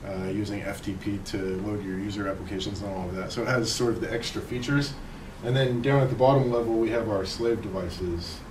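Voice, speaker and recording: Noticeable background noise and audible room echo surround a man's fairly low voice. He talks at a very fast pace with ordinary pitch variation. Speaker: conference presenter, spacecraft engineer. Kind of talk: technical conference talk.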